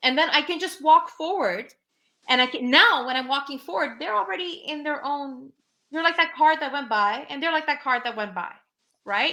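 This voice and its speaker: In a raised, projected voice, a woman speaks at a high pitch with very wide pitch swings and a bright, sharp tone. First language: Urdu. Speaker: livestream talk show host. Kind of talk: casual conversation on a live show.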